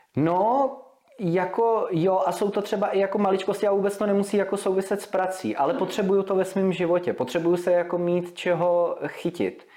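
A man's high voice at a fairly quick pace, with fairly even intonation, very even loudness and noticeable background noise. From Czechia, Vysočina region (Humpolec). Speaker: radio presenter and DJ. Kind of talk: casual interview chat.

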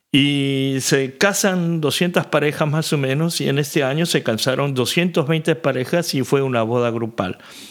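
A man with an unremarkable speaking voice talks at a fairly slow pace with hardly any pauses, at a fairly high pitch. His loudness is very even and his pitch varies in an ordinary way. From Argentina. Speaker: pastor.

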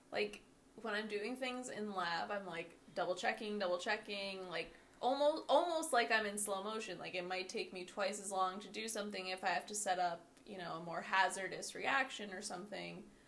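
Against noticeable background noise, a woman speaks at medium pitch and a moderate pace with ordinary pitch variation. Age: 20s. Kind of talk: casual chat. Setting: home-made mic setup.

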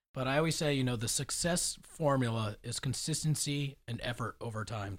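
On a very clean recording with a silent background, a man with an American accent talks at a fairly quick pace, his medium-pitched voice somewhat breathy and showing ordinary pitch variation. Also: hardly any pauses. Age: 30s. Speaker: fitness and nutrition professional. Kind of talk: casual chat.

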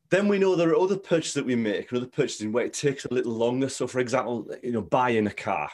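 A man's medium-pitched voice at a very fast pace, with very wide pitch swings and hardly any pauses. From northern England, Stockton-on-Tees. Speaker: marketing coach. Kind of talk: interview.

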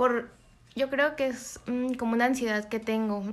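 A woman with an ordinary speaking voice talks fairly slowly at a fairly high pitch. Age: 20s. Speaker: university student. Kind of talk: interview answers.

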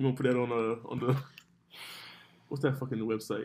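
A man talking at a very fast pace, his pitch medium. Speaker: podcast host. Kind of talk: casual chat. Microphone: far from the mic.

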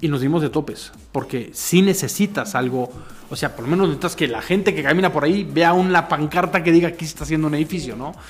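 Delivered at a very fast pace in a Mexican accent, the speech has ordinary pitch variation. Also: man, high pitch for a man. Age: 40s. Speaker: marketing consultant and teacher. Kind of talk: casual interview chat.

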